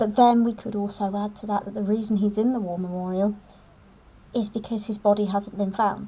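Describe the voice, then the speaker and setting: A woman of medium pitch speaks at a fairly quick pace in a somewhat breathy voice with a dark, mellow tone and monotone, flat intonation. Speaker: English teacher. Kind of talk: lecture. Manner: fast.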